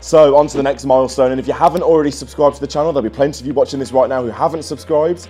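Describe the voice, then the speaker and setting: Over faint music in the background, a man speaks with ordinary pitch variation. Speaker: football fan vlogger. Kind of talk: casual vlog chat. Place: home room. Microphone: phone near.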